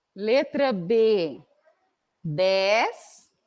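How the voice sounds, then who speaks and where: Her pitch rises and falls across a very wide range. The speaker is a woman. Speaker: math teacher. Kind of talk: lecture.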